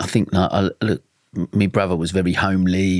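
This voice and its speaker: A man's very deep, low voice in an Essex accent, moderate in pace and monotone, flat in intonation, with a dry, close sound and no echo. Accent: Essex twang. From Essex, England (Dagenham). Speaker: mental health campaigner, podcast guest. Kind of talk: podcast interview. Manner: casual, chatty.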